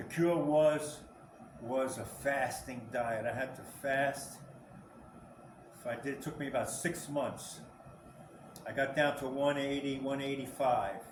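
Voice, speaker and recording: A man's fairly high voice at a fairly slow pace, with fairly even intonation, long, frequent pauses and big swings in loudness, amid noticeable background noise and audible room echo. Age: 60s. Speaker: senior fitness trainer. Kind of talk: casual talk to camera. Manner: halting, repeats words.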